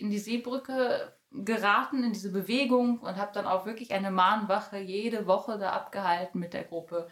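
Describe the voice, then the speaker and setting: A woman in an unremarkable speaking voice talks at a moderate pace, fairly high in pitch, with ordinary pitch variation and hardly any pauses. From Germany, Bielefeld (East Westphalia). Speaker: poetry slammer and activist. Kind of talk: interview.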